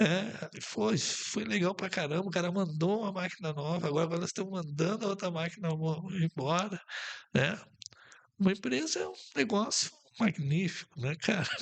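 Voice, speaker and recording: With ordinary pitch variation and a moderate pace, a man talks in a high pitch. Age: 70s. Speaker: business owner. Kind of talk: podcast interview. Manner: halting, with many repetitions.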